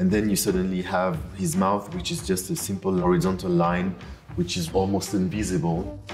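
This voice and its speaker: Faint music plays in the background as a man with a very deep, low pitch speaks at a moderate pace with fairly even intonation. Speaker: auction house design specialist. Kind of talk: interview answer. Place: hall. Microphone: lapel.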